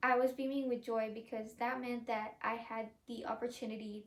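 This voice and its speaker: At a moderate pace, a woman talks in a fairly high pitch with monotone, flat intonation. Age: 20s. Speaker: college student. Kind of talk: prepared speech.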